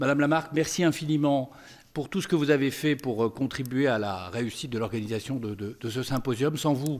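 At a moderate pace, the man talks with pitch that varies in an ordinary way. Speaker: law professor. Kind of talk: conference speech. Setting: stage with audience. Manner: formal. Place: hall. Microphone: podium.

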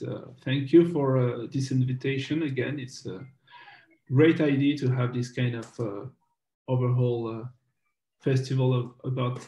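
Somewhat breathy and dark, mellow in tone, a man's voice sits at a medium pitch. He talks at a fairly slow pace with fairly even intonation. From France. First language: French. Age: 30s. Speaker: documentary filmmaker. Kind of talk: interview. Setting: video call. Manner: halting.

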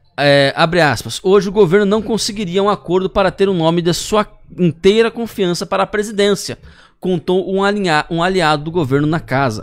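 A high-pitched man talks at a moderate pace, his pitch varying in an ordinary way, against a quiet background. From Brazil. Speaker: news show host. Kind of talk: news reading. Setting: studio. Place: studio. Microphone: studio mic.

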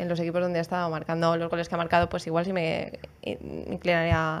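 Against noticeable background noise, a woman talks very fast in a fairly low pitch. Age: 20s. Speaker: football podcast panelist. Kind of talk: casual chat.

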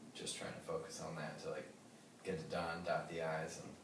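A man's moderately paced speech amid noticeable background noise and audible room echo. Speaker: interviewee. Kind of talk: interview answer. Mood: relaxed, casual. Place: home room. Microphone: camera far.

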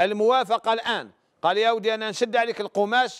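A man talks at a moderate pace in a high pitch. The background is quiet. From Algeria. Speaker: religious scholar answering questions. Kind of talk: religious advice call-in show. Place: studio. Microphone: lapel.

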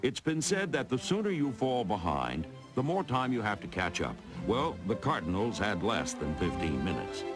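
Music in the background behind a man's fairly low voice, with very wide pitch swings, very even loudness and a moderate pace. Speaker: sports highlight film narrator. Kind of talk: NFL highlight film narration.

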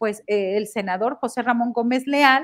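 A high-pitched woman's voice with ordinary pitch variation at a moderate pace, over a quiet background. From Mexico. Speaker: journalist; political commentator panelist. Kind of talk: panel discussion. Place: home room. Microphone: headset.

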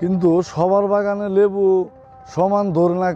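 A man's high-pitched voice with fairly even intonation over light background noise. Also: dry sound with no echo. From Bangladesh, Sherpur district; Bangladesh. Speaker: lemon farmer. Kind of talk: interview answers. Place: farm.

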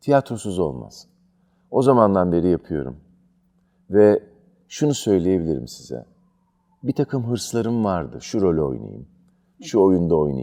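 The voice has a dark, mellow tone and very wide pitch swings, moving at a fairly slow pace with long, frequent pauses. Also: man, very deep, low pitch for a man. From Turkey, Izmir. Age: 50s. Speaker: theatre director and actor. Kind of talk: interview.

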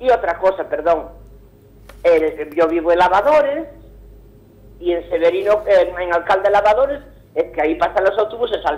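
Over noticeable background noise, a woman at medium pitch talks at a fairly quick pace with very wide pitch swings. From Vigo, Galicia, Spain. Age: 70s. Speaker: caller. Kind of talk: phone-in complaint. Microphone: poor phone line, hard to understand.

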